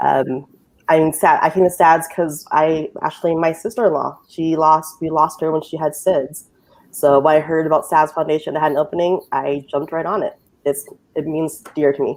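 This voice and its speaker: A woman speaks with a Lao accent in a very deep, low pitch. Her intonation is monotone and flat, and her pace is moderate. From Utah. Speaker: technology coordinator. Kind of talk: casual chat.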